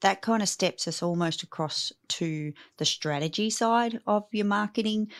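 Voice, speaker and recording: Enthusiastic in tone, a woman with an Australian accent speaks with ordinary pitch variation in a dry, close sound with no echo. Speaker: podcast host, business coach. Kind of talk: casual interview chat. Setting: remote call.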